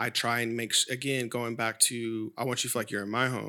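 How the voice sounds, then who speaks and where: In an American accent, a man speaks at medium pitch in a flat, monotone way, his tone bright and sharp on a very clean recording with a silent background. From Sacramento, California. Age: 30s. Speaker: wine educator. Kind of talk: casual chat.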